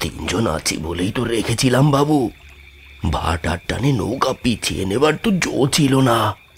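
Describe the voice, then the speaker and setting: A put-on character voice from a man at medium pitch, fairly slow pace, and very wide pitch swings. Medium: audio drama. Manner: deferential, calls the passengers babu.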